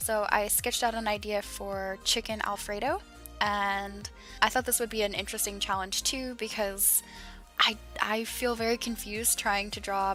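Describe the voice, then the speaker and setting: Music plays in the background as the speaker talks at a fairly slow pace. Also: woman. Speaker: digital artist. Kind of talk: casual art commentary over speedpaint.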